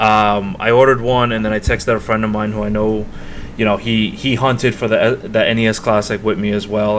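Noticeable background noise runs beneath speech with fairly even intonation. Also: man. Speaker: video game podcast co-host. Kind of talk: casual chat.

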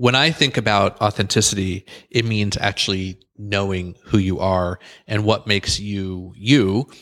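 With a plain, everyday voice, a man speaks at a fairly low pitch and fairly even intonation on a very clean recording with a silent background. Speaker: podcast co-host, coach. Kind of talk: casual conversation.

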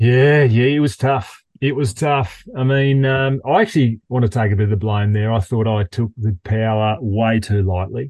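A man with an Australian accent and a medium pitch talks at a moderate pace with hardly any pauses, ordinary pitch variation and very even loudness, in a dry, close sound with no echo. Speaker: podcast host. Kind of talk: casual chat.

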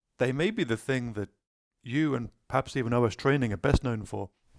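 Talking at a very fast pace, a man speaks with a British accent. His pitch is medium, and the sound is dry and close with no echo. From Britain. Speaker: podcast host. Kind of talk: casual interview.

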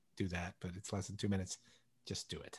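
Over a quiet background comes a somewhat breathy voice. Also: man. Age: 50s. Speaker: podcast co-host. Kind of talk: casual chat.

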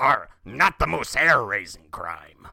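A raspy man does a put-on character voice at medium pitch and a fairly slow pace.

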